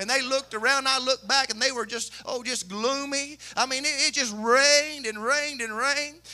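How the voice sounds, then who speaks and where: With a Southern US accent, a man speaks in a raised, projected voice at an extremely high pitch, moving at a fairly quick pace with hardly any pauses. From Kentucky. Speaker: pastor. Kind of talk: sermon. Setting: church. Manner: animated. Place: church. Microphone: handheld.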